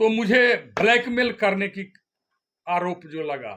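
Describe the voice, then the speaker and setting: A man with a bright, sharp tone and ordinary pitch variation. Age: 70s. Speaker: activist leader and contractor. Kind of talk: press statement.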